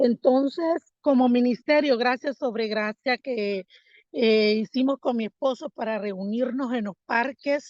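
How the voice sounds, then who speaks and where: At a very slow pace, the speaker uses ordinary pitch variation in a dry, close recording with no echo. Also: woman, high pitch for a woman. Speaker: missionary. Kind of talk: mission report. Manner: hesitant, many fillers.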